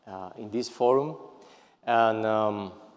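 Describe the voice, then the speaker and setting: A man with a Spanish accent speaks at a medium pitch. Audible room echo surrounds his voice. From Spain, Seville. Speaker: periodontist. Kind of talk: lecture. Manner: halting, many fillers and repetitions.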